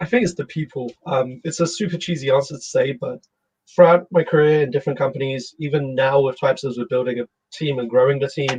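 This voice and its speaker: This man talks at a very fast pace with a fairly high pitch. His voice is somewhat breathy, with ordinary pitch variation. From London, England. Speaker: startup CEO. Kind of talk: casual interview.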